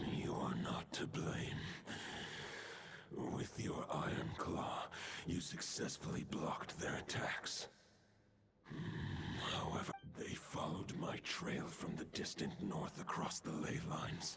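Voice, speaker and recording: Amid loud background noise, a man growls in a cartoonish character voice at a fairly slow pace. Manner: grave, formal.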